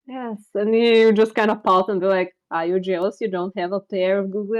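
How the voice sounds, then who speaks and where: A woman speaks with a Bulgarian accent. Her pace is fairly slow. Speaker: streamer and artist. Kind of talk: casual chat. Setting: live stream.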